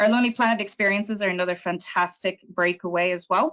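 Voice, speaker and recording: A woman talks at a fairly quick pace, her pitch medium and its variation ordinary. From Ireland. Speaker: tour operator representative. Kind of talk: sales presentation. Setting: virtual presentation.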